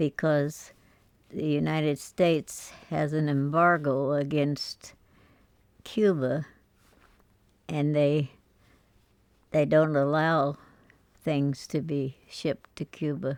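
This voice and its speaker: Very slow, monotone delivery with flat intonation and long, frequent pauses. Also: woman, very deep, low pitch for a woman. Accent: American. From Missouri. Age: 80s+. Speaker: peace activist. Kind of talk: life story interview. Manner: hesitant, reflective.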